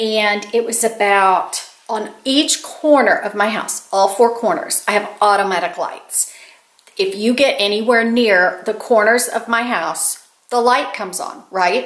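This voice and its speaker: At a fairly slow pace, this is a normal speaking voice with ordinary pitch variation. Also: woman, fairly high pitch for a woman. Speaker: YouTube storyteller and author. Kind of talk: casual talk to camera, scary story telling.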